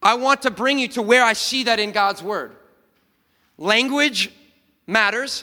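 The voice is raised and projected, with a bright, sharp tone and ordinary pitch variation. It moves at a fairly slow pace with long, frequent pauses. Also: man, extremely high pitch for a man. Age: 30s. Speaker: pastor. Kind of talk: sermon. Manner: animated.

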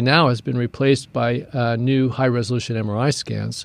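A man's voice at a medium pitch. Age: 60s. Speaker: prostate cancer doctor. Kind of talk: interview. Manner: halting.

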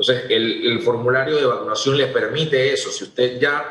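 With audible room echo, a man speaks at a fairly high pitch in a bright, sharp tone with fairly even intonation. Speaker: government agency head. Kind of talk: radio interview.

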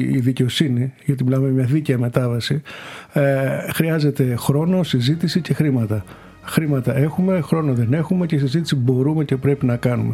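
At a moderate pace, a man with a fairly high pitch speaks with very even loudness and ordinary pitch variation over noticeable background noise. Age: 50s. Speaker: member of European Parliament. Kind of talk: interview. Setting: Brussels.

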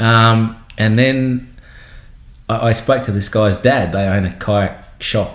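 A man with an Australian accent speaks with ordinary pitch variation and a somewhat breathy voice, with audible room echo. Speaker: podcast host, kayak business owner. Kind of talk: casual chat. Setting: at guests' house.

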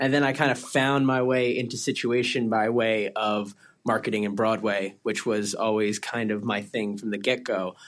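In a plain, everyday voice, a man talks at a moderate pace with hardly any pauses, his pitch mid-range and his intonation fairly even, on a very clean recording against a silent background. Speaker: agency creative staff. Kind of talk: casual chat.

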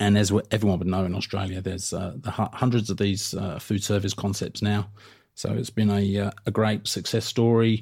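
This man speaks fairly quickly in a southern English accent, his fairly low voice flat and monotone, on a very clean recording with a silent background. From south coast of England. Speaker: podcast host and food business consultant. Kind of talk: solo podcast monologue. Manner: casual, filler-heavy.

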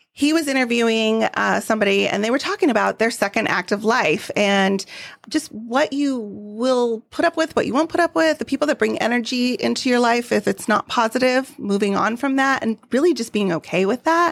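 A woman with an ordinary speaking voice talks at a fairly quick pace and fairly high pitch, with hardly any pauses, lively intonation and very even loudness. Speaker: podcast co-host. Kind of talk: casual chat.

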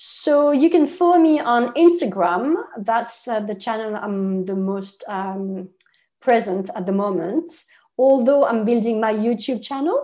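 With a French accent, a woman speaks fairly slowly in a fairly high, dark, mellow voice with lively intonation. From France. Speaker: nutritionist. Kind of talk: interview.

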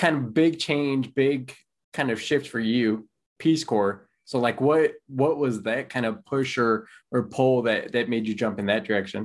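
A man with an ordinary speaking voice talks at a fairly slow pace and medium pitch. His pitch variation is ordinary, and the background is quiet. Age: 30s. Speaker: podcast host and financial planner. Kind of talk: interview.

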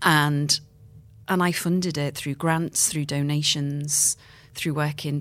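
A woman with a Liverpool accent and a very deep, low pitch speaks at a fairly slow pace in a very clean recording with a silent background. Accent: Liverpool (Scouse). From Liverpool, England. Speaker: playwright and screenwriter. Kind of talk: interview.

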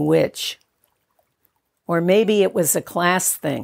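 A woman with an unremarkable speaking voice and a fairly low pitch talks at a fairly slow pace, recorded dry and close with no echo. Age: 60s. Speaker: author. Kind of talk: scripted narration.

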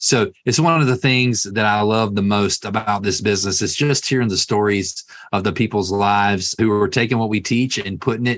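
A fairly low-pitched man with a Southern US accent, ordinary pitch variation and very even loudness. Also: quiet background. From US South. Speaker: podcast host. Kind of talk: interview.

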